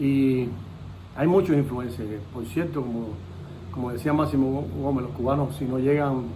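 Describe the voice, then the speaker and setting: A man's voice with long, frequent pauses and audible room echo. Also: medium pitch for a man, ordinary pitch variation, moderate pace. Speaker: interviewer. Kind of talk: interview.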